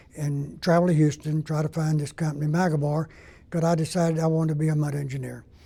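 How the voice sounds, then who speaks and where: A man speaks very fast in an American accent, his pitch fairly high. His tone is dark and mellow, with monotone, flat intonation. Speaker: retired mud engineer, hall of fame inductee. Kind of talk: interview testimony.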